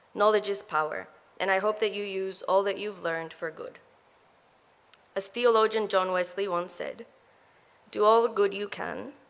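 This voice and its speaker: In an Ecuadorian accent, a woman speaks at a moderate pace with a medium pitch and fairly even intonation. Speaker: graduate student speaker. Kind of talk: graduation speech. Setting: graduation ceremony hall.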